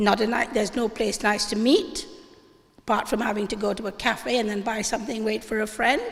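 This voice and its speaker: A woman with a fairly high voice speaks at a moderate pace, with audible room echo and noticeable background noise. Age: 70s. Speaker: audience member at public debate. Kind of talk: public town meeting comment. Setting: church hall with audience. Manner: animated.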